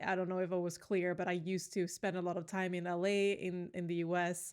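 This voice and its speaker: A woman talks at a moderate pace in a medium pitch. The recording is very clean, with a silent background. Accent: Swedish. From Sweden. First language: Swedish. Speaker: gaming YouTuber, Sims builder. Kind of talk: casual voice-over commentary on a build. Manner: relaxed, many fillers.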